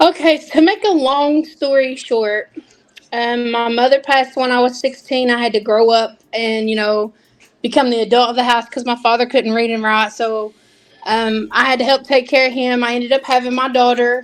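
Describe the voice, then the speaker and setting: Music plays in the background. The speaker, with a Southern accent, uses fairly even intonation. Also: woman, high pitch for a woman, moderate pace. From Kentucky. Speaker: nail technician. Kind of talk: interview.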